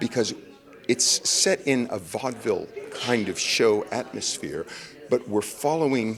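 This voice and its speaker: A man's fairly slow speech is heard against noticeable background noise. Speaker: Broadway actor. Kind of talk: interview answer.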